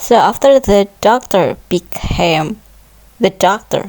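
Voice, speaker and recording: A woman with a non-native accent speaks at a very slow pace and medium pitch, with ordinary pitch variation and noticeable background noise. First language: not English. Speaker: gameplay commentator. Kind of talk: casual solo commentary. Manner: hesitant, thinking aloud.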